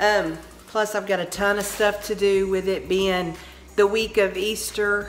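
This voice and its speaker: A woman talks with a Texan accent. Her pitch is medium. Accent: Texan Southern US. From Texas. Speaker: home decor vlogger. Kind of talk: casual vlog chat. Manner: slow, drawn out; chatty.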